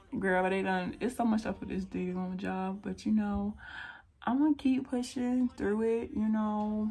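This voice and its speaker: A woman's somewhat breathy, fairly high voice with an American accent, a dark, mellow tone, ordinary pitch variation, and a fairly slow pace. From North Carolina, US South. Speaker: beauty vlogger. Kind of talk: casual chat. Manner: animated.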